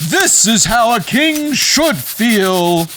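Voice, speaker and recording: A man uses a put-on character voice with a high pitch. Clear background noise can be heard. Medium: read story. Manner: booming, bossy.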